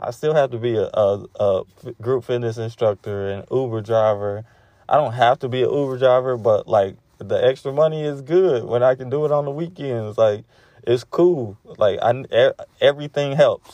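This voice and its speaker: A man's dark, mellow tone at medium pitch and a moderate pace. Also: ordinary pitch variation. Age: 30s. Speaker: podcast host. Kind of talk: personal monologue. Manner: halting.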